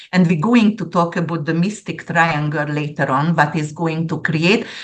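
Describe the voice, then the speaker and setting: A woman talks with a Central European accent. Her pitch sits fairly low. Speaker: astrologer. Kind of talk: interview, explaining predictions. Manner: animated.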